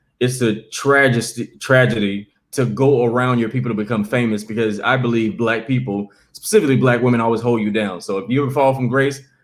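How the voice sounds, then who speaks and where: A man with a medium pitch talks at a fairly quick pace with hardly any pauses. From US South, Columbia, South Carolina. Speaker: comedian. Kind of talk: interview. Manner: fast; animated.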